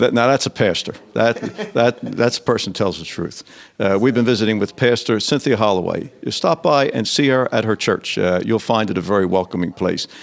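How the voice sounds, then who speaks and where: A man with a plain, everyday voice talks at a fairly quick pace, using a medium pitch and ordinary pitch variation. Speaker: local TV show host. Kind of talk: casual interview chat. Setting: hardware store.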